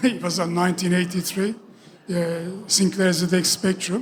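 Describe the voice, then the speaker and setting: Speaking at a moderate pace, a man with a Turkish accent holds a high pitch in a monotone, flat intonation. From Turkey. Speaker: game developer. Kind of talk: stage interview.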